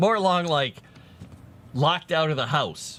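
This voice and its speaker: Here a man talks at a moderate pace with a fairly high pitch. His voice carries vocal fry. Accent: American. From US, Mississippi River area. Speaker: tabletop RPG designer streaming. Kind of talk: casual livestream chat. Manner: soft-spoken.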